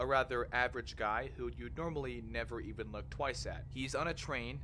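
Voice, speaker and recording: Audible room echo hangs around this man's voice. He keeps to a moderate pace. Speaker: horror content creator. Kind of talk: video essay narration.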